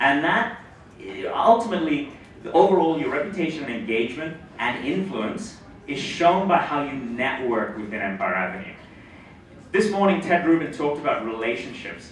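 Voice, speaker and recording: A man with a fairly high voice speaks with very wide pitch swings. Noticeable background noise and audible room echo sit behind him. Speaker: startup CEO speaking at a conference. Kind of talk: conference talk. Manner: fast.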